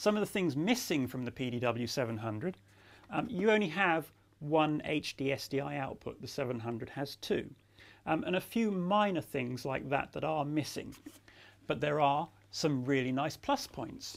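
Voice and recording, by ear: A man talks at a moderate pace with a fairly high pitch. His intonation is lively, with vocal fry.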